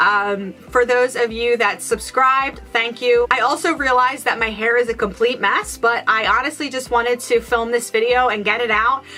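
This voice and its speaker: Music plays behind a woman with a high pitch. Her intonation stays fairly even. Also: hardly any pauses, very even loudness. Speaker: beauty vlogger. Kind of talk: product review vlog. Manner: fast; hesitant, many fillers.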